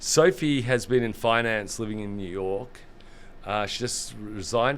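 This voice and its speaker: With an Australian accent and a fairly low pitch, a man's voice shows big swings in loudness amid audible room echo. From Australia, Sydney. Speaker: gaming industry executive. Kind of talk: interview conversation. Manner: fast.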